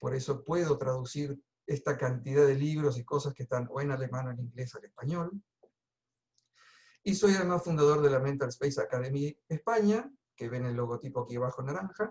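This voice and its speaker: Fairly quick and somewhat breathy, a man speaks at a fairly high pitch with ordinary pitch variation. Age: 60s. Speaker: coach and trainer. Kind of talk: webinar presentation. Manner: casual.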